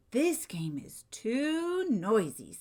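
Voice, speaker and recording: A put-on character voice, female-sounding and high-pitched, with very wide pitch swings. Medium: read story. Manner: simple, picky.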